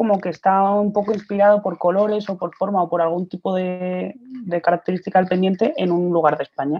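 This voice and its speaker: A woman speaks in a normal speaking voice at medium pitch and a moderate pace, with fairly even intonation. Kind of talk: interview.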